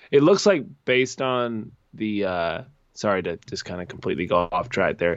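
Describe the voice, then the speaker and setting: A man with an American accent speaks in an ordinary speaking voice at a moderate pace, his fairly low pitch carried by lively intonation. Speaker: soccer podcast co-host. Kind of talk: casual chat.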